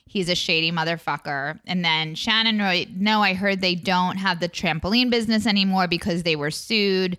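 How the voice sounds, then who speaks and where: A woman at medium pitch speaks in an ordinary speaking voice at a moderate pace, with hardly any pauses and very even loudness. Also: ordinary pitch variation. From Long Island, New York. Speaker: actor and podcast recapper. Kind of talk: casual chat recapping reality TV.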